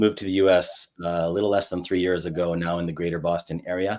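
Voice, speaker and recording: A man with an American accent at a very fast pace. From United States. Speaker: HR executive and coach. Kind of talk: panel discussion.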